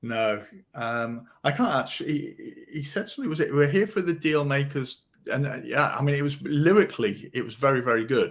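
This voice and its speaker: A man speaks with a British accent at a fairly high pitch. He moves at a fairly quick pace. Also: lively intonation. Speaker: podcast co-host, rebate specialist. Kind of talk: casual chat. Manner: halting, many fillers and repeats.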